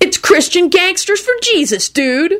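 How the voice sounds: A woman in a put-on character voice speaks fairly slowly at an extremely high pitch, with big pitch swings and a fairly bright tone.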